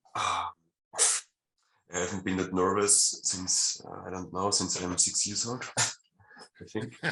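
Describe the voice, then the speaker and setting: In a German accent, a man with a very deep, low pitch and a bright, sharp tone speaks very slowly with monotone, flat intonation. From Austria. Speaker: fan. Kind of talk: casual chat. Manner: soft-spoken; halting.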